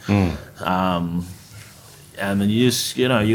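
A man speaks with an Australian accent and a very deep, low pitch. His intonation stays fairly even. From Australia, North Queensland (Tully). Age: young. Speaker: chef and restaurateur. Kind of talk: casual interview chat.

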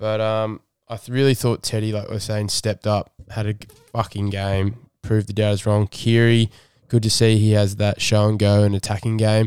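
In a very clean recording with a silent background, a man speaks at a moderate pace. His fairly low pitch holds a monotone, flat intonation. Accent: Australian. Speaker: rugby league fan podcast host. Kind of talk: casual chat. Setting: studio.

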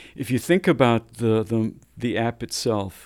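With an unremarkable speaking voice, a man talks at a fairly slow pace and a medium pitch. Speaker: data executive and homelessness tech advocate. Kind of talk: interview.

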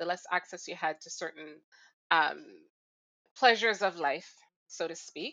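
A woman speaks in a Jamaican accent at a medium pitch. Her pace is moderate and her pitch varies in an ordinary way. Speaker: recurring podcast co-host. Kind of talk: casual chat.

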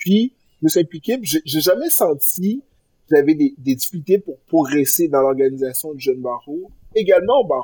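In a dry, close sound with no echo, a man talks at a moderate pace with a fairly high pitch and lively intonation. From Quebec, Granby. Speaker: lawyer, bar association president. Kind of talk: interview. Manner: halting, many repetitions.

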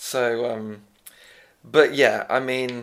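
Recorded very cleanly against a silent background, a man speaks with an English accent. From England. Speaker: podcast host. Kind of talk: casual chat. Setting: pub.

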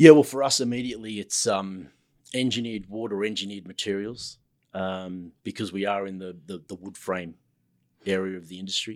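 In a very clean recording with a silent background, a man with an Australian accent talks at a fairly quick pace, his fairly low voice showing ordinary pitch variation and big swings in loudness. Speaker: construction manager. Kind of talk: casual interview chat.

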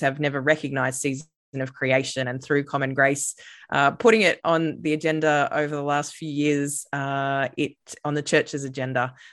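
An Australian accent from a woman with a very deep, low pitch, at a moderate pace against a quiet background. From Australia, Queensland Sunshine Coast. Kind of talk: interview conversation. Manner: frequent hesitations (uh, um).

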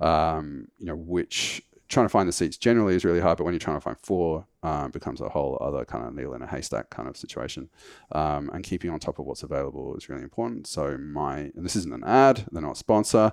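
With vocal fry and a very deep, low pitch, a man talks at a very fast pace with lively intonation, the sound dry and close with no echo. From United Kingdom. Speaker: founder of a travel points website. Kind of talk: casual interview. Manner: hesitant, many fillers.

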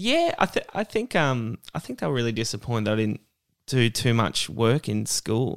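The speaker is a man with an Australian accent. The sound is dry and close with no echo, very clean, with a silent background. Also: moderate pace. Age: 30s. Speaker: stand-up comedian. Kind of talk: casual interview chat. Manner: halting, many false starts.

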